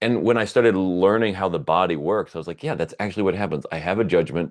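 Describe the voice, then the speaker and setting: A loud man against a quiet background. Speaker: podcast host. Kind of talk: casual chat.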